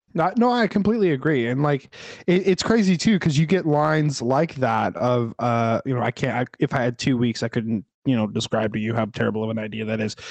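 An ordinary speaking voice moves at a fairly quick pace with lively intonation, recorded dry and close with no echo against a quiet background. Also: man, medium pitch for a man. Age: 30s. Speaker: movie podcast co-host. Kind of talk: casual chat.

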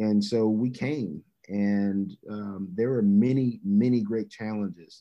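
This man has an ordinary speaking voice with an American accent. His pitch is fairly low, and his intonation stays fairly even. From US South, Birmingham, Alabama. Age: 30s. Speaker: university athletics director. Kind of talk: podcast interview.

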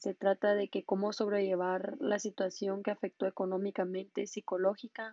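With a dark, mellow tone and a medium pitch, a woman speaks in monotone, flat intonation. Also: dry, close sound with no echo. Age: 20s. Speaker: law student and podcaster. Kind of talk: scripted monologue.

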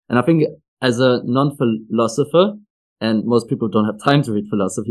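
A man in a plain, everyday voice talks at a fairly quick pace with medium pitch and ordinary pitch variation over a quiet background. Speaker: podcast host. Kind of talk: interview, scripted intro.

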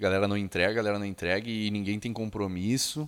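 The recording is very clean and the background silent. A man speaks at a moderate speed. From Caxias do Sul, southern Brazil. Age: 30s. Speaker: digital agency founder. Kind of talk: casual interview.

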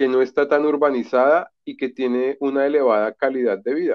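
A man speaks in a normal speaking voice. His pitch is fairly high and his pace moderate. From Colombia (Bogotá). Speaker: literature graduate. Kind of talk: casual chat.

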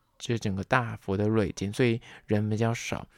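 An unremarkable speaking voice moves at a moderate pace on a very clean recording with a silent background and dry, close sound with no echo. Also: man. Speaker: podcast host. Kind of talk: solo podcast talk.

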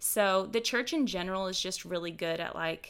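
Here is an unremarkable speaking voice from a woman with an American accent and a fairly low pitch. She talks at a moderate pace on a very clean recording with a silent background. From Houston, Texas. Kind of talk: casual chat.

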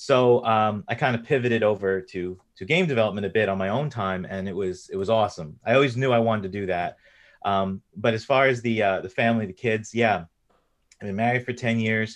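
A man with an American accent and an unremarkable speaking voice talks at a fairly quick pace and medium pitch, with ordinary pitch variation, over a quiet background. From US East Coast, New York. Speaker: indie game developer. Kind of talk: casual interview chat.

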